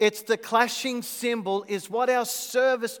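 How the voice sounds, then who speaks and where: Speaking with an Australian accent, a man goes at a fairly slow pace with fairly even intonation. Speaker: visiting worship leader and preacher. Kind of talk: sermon. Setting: church.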